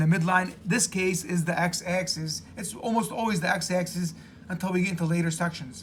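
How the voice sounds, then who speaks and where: A man's high, bright, sharp voice at a moderate pace, with audible room echo. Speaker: math teacher. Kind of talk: lecture.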